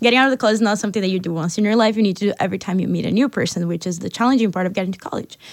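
A woman's speech shows ordinary pitch variation in a very clean recording with a silent background. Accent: Portuguese. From Brazil. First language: Portuguese. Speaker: university student. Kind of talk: panel discussion.

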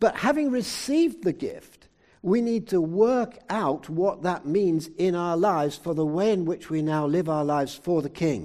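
A man with a British accent, high in pitch yet dark and mellow in tone, with lively intonation, a moderate pace and hardly any pauses, against a quiet background. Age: 70s. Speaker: preacher. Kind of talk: sermon. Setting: church.

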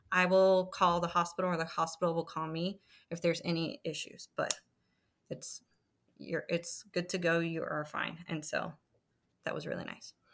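A woman with an American accent speaks at a moderate pace in a fairly low, monotone, flat voice, in a very clean recording with a silent background. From El Paso, Texas. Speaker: military spouse and mother. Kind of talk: casual interview about birth stories. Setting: podcast recording.

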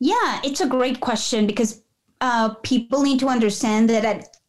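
A woman's voice with a Spanish accent and ordinary pitch variation. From Peru. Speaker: nonprofit founder and executive director. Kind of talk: casual interview.

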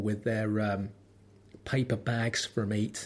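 In a London accent, a man talks at a very slow pace with a medium pitch, recorded very cleanly over a silent background. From London, Lambeth. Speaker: podcast host. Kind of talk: solo monologue podcast. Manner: tense, holds back chest voice; wry, dry delivery.

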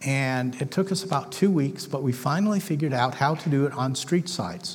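A somewhat breathy voice with ordinary pitch variation, set in audible room echo. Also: man. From northern England, Manchester. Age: 60s. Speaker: missionary. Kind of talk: sermon.

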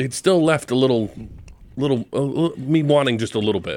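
This is an unremarkable speaking voice from a man at medium pitch, with ordinary pitch variation. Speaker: guest wine enthusiast. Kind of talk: comedic tasting banter. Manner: rambling, repeats words.

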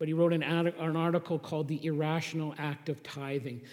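A man's fairly high-pitched, normal speaking voice at a moderate pace. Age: 50s. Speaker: pastor. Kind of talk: sermon.

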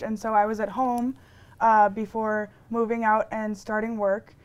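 A woman's normal speaking voice, fairly high in pitch, with an American accent, fairly even intonation and a moderate pace, on a very clean recording with a silent background. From Milwaukee, Wisconsin. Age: 20s. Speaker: interviewee. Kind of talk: testimony.

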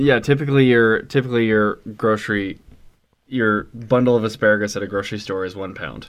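A man with a plain, everyday voice, fairly even intonation, and a fairly quick pace. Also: medium pitch for a man. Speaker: podcast host. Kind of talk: casual banter.

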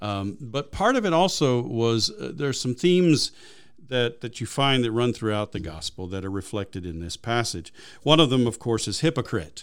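Pitch swings very widely in this very clean recording with a silent background. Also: man, medium pitch for a man, moderate pace. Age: 50s. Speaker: pastor and podcast co-host. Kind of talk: casual chat. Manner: halting, many fillers.

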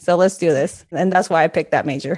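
A woman with a Spanish accent at a fairly quick pace, over a quiet background. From Peru. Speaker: career coach and entrepreneur. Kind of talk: podcast interview.

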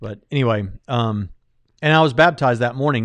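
This man has an ordinary speaking voice with an American accent, a medium pitch and ordinary pitch variation. The background is quiet. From US South, Jacksonville, Florida. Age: 30s. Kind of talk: casual chat. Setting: livestream studio.

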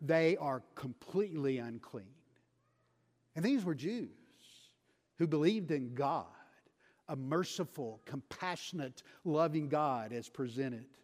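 Lively intonation marks this fairly slow delivery in a Texan accent, broken by long, frequent pauses on a very clean recording with a silent background. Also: man, fairly high pitch for a man. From West Texas. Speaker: missionary preacher. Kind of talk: sermon. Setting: church.

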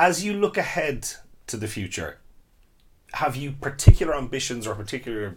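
With an Irish accent, a man speaks somewhat breathily, his pitch swinging very widely. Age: 30s. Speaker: podcast host and theatre director. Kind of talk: interview. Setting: studio.

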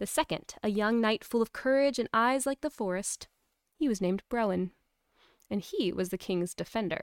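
Here is a woman with a plain, everyday voice and a fairly high pitch. The recording is very clean, with a silent background and a dry, close sound with no echo. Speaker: podcast host and mother.

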